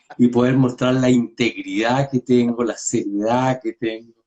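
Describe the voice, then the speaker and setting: A man's medium-pitched voice with a Chilean accent. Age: 60s. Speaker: pediatrician. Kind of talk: casual chat.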